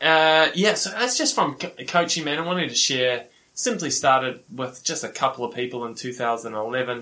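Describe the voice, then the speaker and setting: With a New Zealand accent and a bright, sharp tone, a man speaks at a moderate pace and medium pitch, with ordinary pitch variation and hardly any pauses. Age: 40s. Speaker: professional triathlete and coach. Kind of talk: casual interview.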